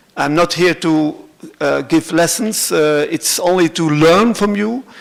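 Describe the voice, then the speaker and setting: A high-pitched man with a Flemish Belgian accent and fairly even intonation. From Belgium (Flanders). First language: Dutch (Flemish). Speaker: cultural centre director. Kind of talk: conference presentation. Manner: halting, many fillers.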